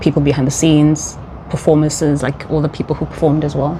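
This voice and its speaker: Against noticeable background noise, a woman speaks with a South African accent. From South Africa, Johannesburg. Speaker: vlogger. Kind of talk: casual chat. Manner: animated.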